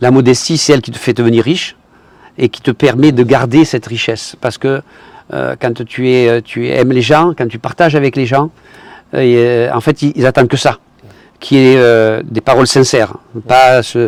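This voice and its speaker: Speaking with a southern French accent, a man keeps a medium pitch, fairly even intonation and a moderate pace with long, frequent pauses, the sound dry and close with no echo. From southern France. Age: 70s. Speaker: retired tradesman and investment promoter. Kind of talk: testimony. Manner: halting, with repetitions.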